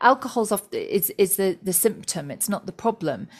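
A normal speaking voice comes through at a moderate pace in a very clean recording with a silent background. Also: woman. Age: 40s. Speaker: author and psychotherapist. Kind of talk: interview.

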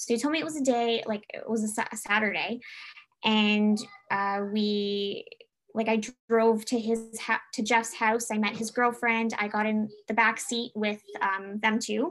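Speaking at a fairly slow pace with a Canadian accent, a woman has an ordinary speaking voice, a fairly high pitch and fairly even intonation. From Canada, Toronto. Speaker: doula and former military member. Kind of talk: casual interview.

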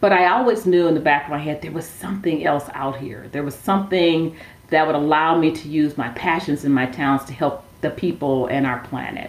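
A woman with an American accent speaks at a fairly quick pace in a very deep, low voice with ordinary pitch variation. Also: big swings in loudness. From Milwaukee, Wisconsin, US Midwest. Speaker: social enterprise founder. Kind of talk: interview. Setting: remote call.

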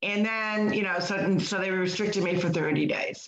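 A woman speaks at a moderate pace. Her voice carries vocal fry. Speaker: podcast host. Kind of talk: casual chat.

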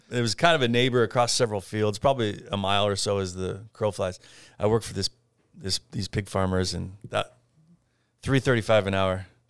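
A man talks at a fairly quick pace with a fairly low pitch and ordinary pitch variation. He has an ordinary speaking voice. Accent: American. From US, rural southwest Idaho (Parma). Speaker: furniture importer and business owner. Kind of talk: interview.

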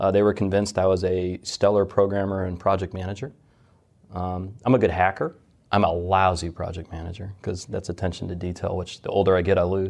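A man's very deep, low voice with a Midwestern American accent, monotone and flat, at a fairly quick pace over a quiet background. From US Midwest, Detroit. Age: 40s. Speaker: fintech executive, former submariner. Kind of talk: interview.

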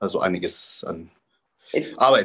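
A man's voice in a dry, close sound with no echo. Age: 30s. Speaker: professional bodybuilder. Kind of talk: casual interview.

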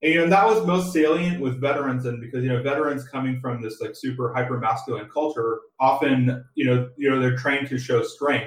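A somewhat breathy, medium-pitched man with an American accent, fairly quick with hardly any pauses and ordinary pitch variation. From San Diego, California. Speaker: assistant professor, researcher. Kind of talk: interview. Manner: halting, many repetitions.

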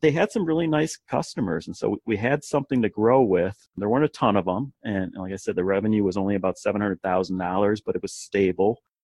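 An unremarkable speaking voice from a man, fairly low in pitch, with lively intonation, a fairly quick pace and hardly any pauses. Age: 40s. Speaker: company CEO. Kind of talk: interview storytelling.

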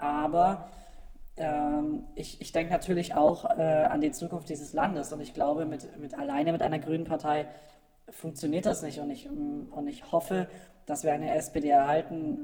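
At a moderate pace, a man with a normal speaking voice talks fairly high in pitch with fairly even intonation. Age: 20s. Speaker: voter guest, office employee. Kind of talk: casual interview chat. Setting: radio studio, live broadcast.

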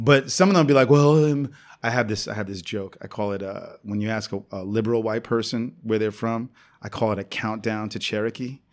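On a very clean recording with a silent background, a man with an American accent talks in an ordinary speaking voice at a medium pitch and fairly quick pace, with ordinary pitch variation. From New York City. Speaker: comedian and teacher. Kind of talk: casual interview chat.

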